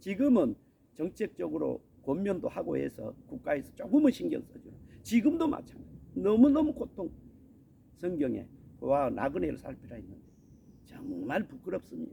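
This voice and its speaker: His pace is moderate, neither hurried nor slow. This man pauses often and at length. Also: big swings in loudness. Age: 60s. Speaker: missionary preacher. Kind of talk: sermon. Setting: outdoors on a mountain.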